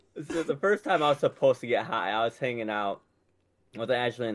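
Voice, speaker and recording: An ordinary speaking voice with ordinary pitch variation. It runs at a fairly quick pace. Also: man. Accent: American. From Michigan. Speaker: podcast co-host.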